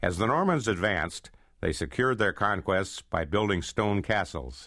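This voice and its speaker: A man with an American accent speaks at a moderate pace in a fairly low pitch, his tone bright and sharp with some vocal fry. His intonation is lively, his loudness very even, and the background quiet. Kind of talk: history audiobook narration.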